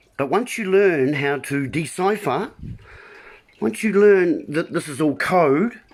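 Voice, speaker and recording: A man is speaking. He talks with a New Zealand accent. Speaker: video blogger. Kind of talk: casual monologue livestream. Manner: hesitant, many ums.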